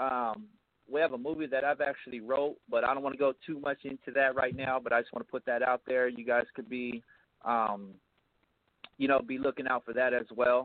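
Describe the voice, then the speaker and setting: In a normal speaking voice, a man with an American accent talks at a fairly quick pace, with medium pitch and fairly even intonation. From US West Coast (Riverside, California). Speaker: musician and author. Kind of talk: casual interview.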